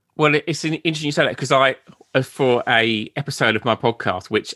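A man with an Essex accent, bright, sharp tone and ordinary pitch variation, in a dry, close sound with no echo against a quiet background. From Essex, England. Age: 30s. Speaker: podcaster and Beatles author. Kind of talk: interview. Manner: halting.

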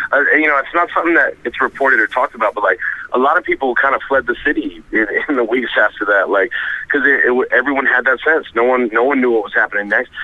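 A very fast-talking man with an American accent, noticeable noise running behind him. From US, Rhode Island. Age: 30s. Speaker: rapper. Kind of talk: interview. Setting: phone call.

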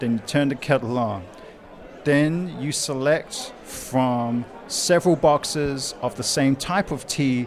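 A man's medium-pitched voice, with ordinary pitch variation, cuts through noticeable background noise. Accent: New Zealand. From New Zealand, Wellington. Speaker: guest. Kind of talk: casual chat. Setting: pub.

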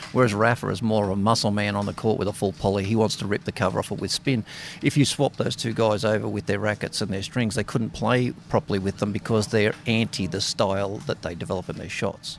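Talking at a very fast pace with hardly any pauses, a man with an Australian accent keeps a fairly low pitch and fairly even intonation. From Australia (Sydney). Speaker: racket stringer. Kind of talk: interview.

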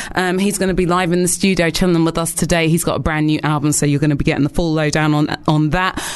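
Over noticeable background noise, a woman talks very fast at a fairly low pitch with monotone, flat intonation. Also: very even loudness. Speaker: radio host. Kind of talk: radio show banter. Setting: studio.

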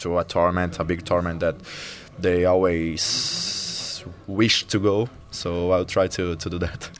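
A man with a Portuguese accent speaks at a fairly slow pace in a very deep, low voice with monotone, flat intonation. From Brazil, Fortaleza (northeast). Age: 20s. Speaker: professional tennis player. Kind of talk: interview. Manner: halting, many fillers and repetitions.

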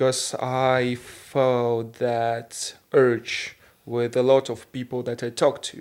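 This man talks in a Russian accent at a medium pitch, his intonation monotone and flat. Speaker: podcast co-host. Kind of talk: casual chat. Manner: halting.

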